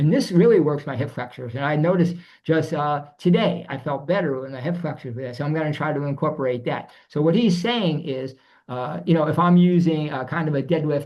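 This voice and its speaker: The speech moves at a fairly quick pace with a somewhat breathy quality. Pitch varies in an ordinary way. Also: man, fairly high pitch for a man. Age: 70s. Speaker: fitness enthusiast, older athlete. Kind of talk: interview.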